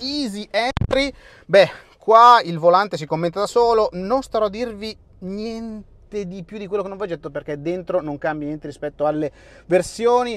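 At a moderate pace, a man speaks with big swings in loudness in a dry sound with no echo. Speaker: car reviewer. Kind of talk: commentary. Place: street. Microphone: phone near.

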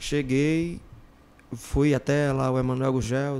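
A man's voice, fairly high in pitch. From Ceará, Brazil (Iguatu); Ceará, Brazil. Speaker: former band singer; podcast guest. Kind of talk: casual interview chat. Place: studio. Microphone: studio mic.

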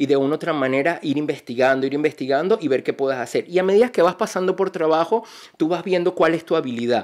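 The speaker goes at a very fast pace with ordinary pitch variation, over a quiet background. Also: man. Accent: Venezuelan. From Venezuela, Barinas; Venezuela. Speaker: energy consultant and entrepreneur; podcast guest. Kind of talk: interview. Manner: halting, many repetitions. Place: studio. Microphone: studio mic.

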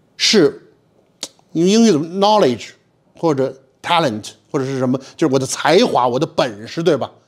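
Against a quiet background, a man speaks at a fairly high pitch with very wide pitch swings. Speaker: history teacher. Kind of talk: lecture. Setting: stage with audience. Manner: animated. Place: classroom.

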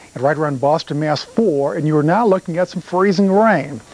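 The man's voice is high-pitched, and the sound is dry with no echo. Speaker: TV presenter. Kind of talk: weather forecast broadcast. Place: studio. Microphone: lapel.

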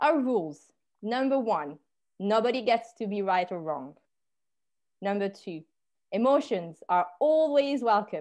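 Her voice sits fairly high and swings very widely in pitch. The woman leaves long, frequent pauses against a quiet background. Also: fairly slow pace. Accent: French. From France. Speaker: podcast host. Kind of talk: casual conversation. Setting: video call. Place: home room. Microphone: earbuds.

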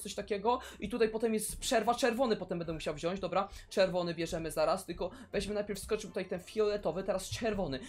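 Faint music plays behind a man speaking at a very fast pace. His pitch is high, with ordinary variation. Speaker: gaming streamer. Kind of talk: excited gameplay commentary.

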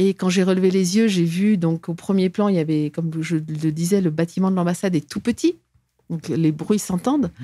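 A woman's fairly low voice with a dark, mellow tone, ordinary pitch variation and a moderate pace, in a dry sound with no echo over a quiet background. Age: 60s. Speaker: former diplomat and whistleblower; guest. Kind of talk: interview testimony; interview answer. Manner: halting, frequent repetitions. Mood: earnest, recounting grievances. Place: studio. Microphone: studio mic.

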